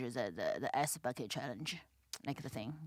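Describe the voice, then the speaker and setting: A woman with a Chinese accent, animated, at a moderate pace. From China. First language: Mandarin Chinese. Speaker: comedian. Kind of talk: casual chat. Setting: podcast studio. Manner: halting, many fillers; blunt, animated.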